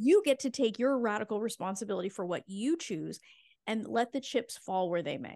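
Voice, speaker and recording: Over a quiet background, a woman with a plain, everyday voice talks at a moderate pace, her fairly high pitch carrying lively intonation. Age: 40s. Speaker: fertility coach. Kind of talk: interview conversation.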